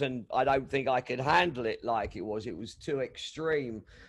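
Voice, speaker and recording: This man speaks at a moderate pace in a London accent, his pitch fairly high. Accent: English, London area. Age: 60s. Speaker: DJ. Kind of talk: casual interview chat. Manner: halting, many fillers.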